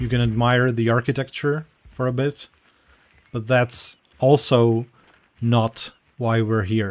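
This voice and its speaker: A man with a non-native accent, medium pitch and monotone, flat intonation at a fairly slow pace with long, frequent pauses. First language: not English. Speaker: game developer community manager. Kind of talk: gameplay walkthrough stream. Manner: halting.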